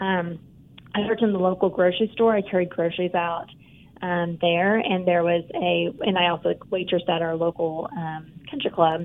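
A woman with a normal speaking voice, fairly low in pitch, at a moderate pace and with fairly even intonation. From eastern Oklahoma, small town. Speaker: bank CEO. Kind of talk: interview.

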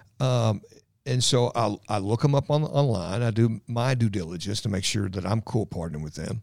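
Medium-pitched male voice with an American accent, a moderate pace and ordinary pitch variation. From Louisville, Kentucky (south end). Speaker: radio host and ad sales rep. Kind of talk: interview, casual chat.

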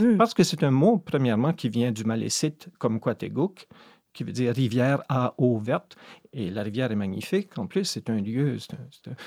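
In a very clean recording with a silent background, a man speaks at a moderate pace with a medium pitch, lively intonation, a dark, mellow tone, a dry, close sound with no echo, and a slight Brayon accent. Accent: faint Brayon. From Madawaska, northwestern New Brunswick. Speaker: poet. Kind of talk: interview.

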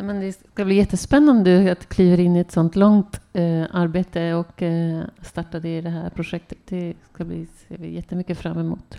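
With hardly any pauses, a woman talks at a fairly slow pace in a fairly low, dark, mellow voice, her intonation fairly even but her loudness swinging widely. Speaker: theatre dramaturge and moderator. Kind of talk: event moderation. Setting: stage with audience in a tent.

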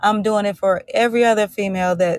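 A woman speaks in an unremarkable speaking voice at a medium pitch, with fairly even intonation. The sound is dry and close with no echo, in a very clean recording with a silent background. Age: 40s. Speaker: author and blogger. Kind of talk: interview.

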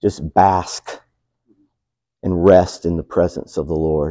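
Against a quiet background, a man with a Southern US accent talks at a fairly slow pace in a dark, mellow tone with ordinary pitch variation. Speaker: pastor. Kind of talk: sermon. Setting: church.

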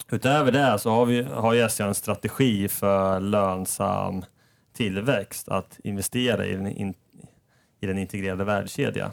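A man at a fairly slow pace, with ordinary pitch variation, on a very clean recording with a silent background. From Sweden, Norrköping. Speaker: finance manager, engineer by training. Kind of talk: casual podcast interview.

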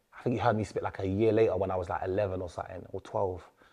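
Animated and very fast, a man talks with a London accent. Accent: London multicultural English. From London, England. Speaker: rapper and youth worker. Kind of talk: casual interview.

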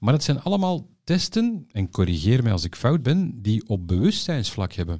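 Over a quiet background, a man with a medium-pitched, somewhat breathy voice and a dark, mellow tone speaks at a moderate pace, with very wide pitch swings and hardly any pauses. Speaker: podcast host, former advertising professional. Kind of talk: personal interview.

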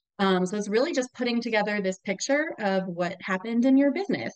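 In a plain, everyday voice, a woman with an American accent talks at a fairly quick pace with ordinary pitch variation. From US Southwest, New Mexico. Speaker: bookkeeper. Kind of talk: podcast interview.

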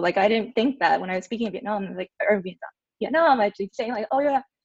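A woman with an American accent has an ordinary speaking voice at a fairly high pitch, with ordinary pitch variation. The sound is dry and close, with no echo. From Orange County, California. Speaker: teacher. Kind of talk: interview.

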